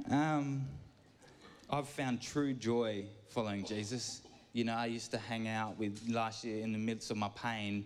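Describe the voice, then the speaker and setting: Audible room echo surrounds a man speaking at a fairly slow pace and medium pitch with fairly even intonation. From York. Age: 30s. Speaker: church gardener giving a talk. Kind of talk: sermon. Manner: rambling, halting.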